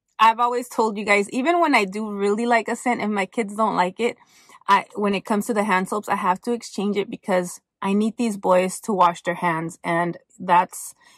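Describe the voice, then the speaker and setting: Against a quiet background, with a dry sound and no echo, a woman speaks at a moderate pace with ordinary pitch variation. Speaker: haul vlogger. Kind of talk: casual vlog chat. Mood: relaxed, chatty. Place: car. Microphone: phone near.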